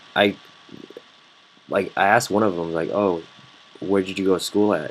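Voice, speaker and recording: Over noticeable background noise, a man talks in a monotone, flat way at a moderate pace and a fairly low pitch. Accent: American. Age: 20s. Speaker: student. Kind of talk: casual chat. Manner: halting, many fillers.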